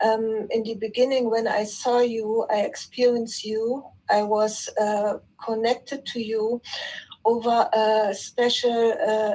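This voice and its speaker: A woman speaks with a non-native accent at a fairly high pitch. Her intonation stays monotone and flat. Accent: non-native English, apologizes for it. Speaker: participant in online spiritual session. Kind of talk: spiritual sharing in group call. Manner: halting, with fillers and repetitions.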